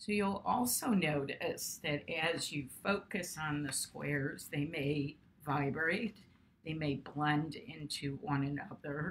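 The speaker sounds somewhat breathy and goes at a very slow pace, with ordinary pitch variation and light background noise. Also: woman, very deep, low pitch for a woman. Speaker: art teacher and video host. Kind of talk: guided meditation; casual educational talk. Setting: studio, video. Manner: slow, calm, soothing. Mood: calm, soothing. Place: home room. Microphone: webcam.

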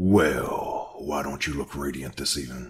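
A raspy, put-on character voice moves at a moderate pace with fairly even intonation. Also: man. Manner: mocking.

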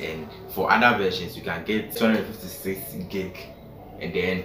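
A man talks in a very deep, low voice at a fairly slow pace. Music plays in the background. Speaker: tech vlogger. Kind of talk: casual review vlog. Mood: cheerful, smiling. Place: home room. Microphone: phone near.

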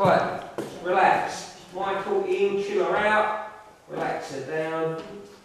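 Very slow speech amid light background noise and strong room echo. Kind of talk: ghost hunt séance. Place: empty room. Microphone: camera far.

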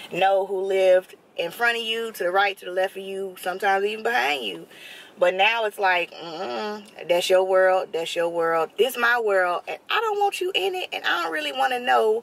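Speaking at a moderate pace with ordinary pitch variation, a woman is heard in a dry sound with no echo. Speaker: vlogger. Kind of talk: casual vlog chat. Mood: opinionated, reflective. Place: car. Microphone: phone near.

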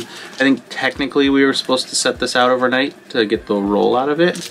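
A man against light background noise. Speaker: RV vlogger. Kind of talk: casual vlog chat. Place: home room. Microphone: phone near.

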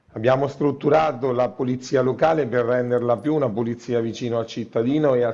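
Against a quiet background, a man speaks at a moderate pace in a dark, mellow tone. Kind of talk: interview answer. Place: office. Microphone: earbuds.

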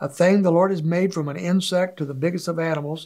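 Against a quiet background, a man speaks at a high pitch with fairly even intonation. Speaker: church teacher. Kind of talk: bible teaching talk. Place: studio.

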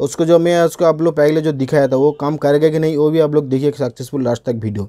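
A man talks at a fast pace in a fairly high voice with a dark, mellow tone. His pitch varies an ordinary amount.

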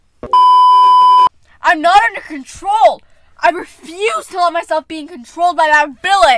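In a put-on character voice at an extremely high pitch, a woman speaks at a moderate pace with big swings in loudness and long, frequent pauses, sound effects playing in the background. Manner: shouted, angry.

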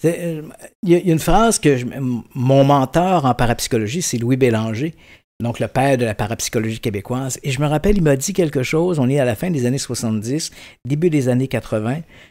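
Against a quiet background, a man with a medium-pitched, dark, mellow voice speaks with lively intonation. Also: moderate pace. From Quebec, Saint-Jean-sur-Richelieu region; Quebec. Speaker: paranormal investigator and journalist; journalist. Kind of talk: casual interview. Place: studio. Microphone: studio mic.

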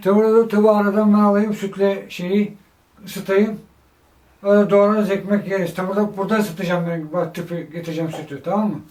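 A man with a high voice speaks at a fairly quick pace with fairly even intonation. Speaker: caregiver son. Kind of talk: casual conversation at home.

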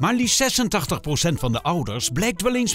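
A man's voice with very wide pitch swings over music in the background. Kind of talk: TV documentary voice-over narration.

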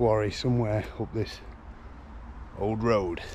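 The sound is dry with no echo, with light background noise behind it. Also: man. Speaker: travel vlogger. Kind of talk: casual vlog chat. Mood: cheerful, laughing at slip-ups. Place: open country. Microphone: phone near.

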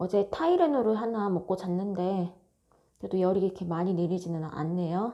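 A woman's dark, mellow tone at a moderate pace, with fairly even intonation. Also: medium pitch for a woman. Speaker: fortune teller. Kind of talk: solo video monologue. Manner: casual, many fillers.

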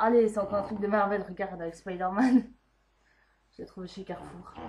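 A woman speaks at a fairly quick pace with fairly even intonation. Light background noise sits behind her. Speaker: vlogger. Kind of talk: casual vlog chat.

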